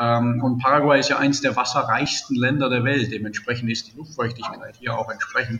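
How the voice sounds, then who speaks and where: A man at medium pitch and a fairly quick pace, with ordinary pitch variation, hardly any pauses and noticeable background noise. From Germany, Baden-Württemberg. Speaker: entrepreneur. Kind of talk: interview.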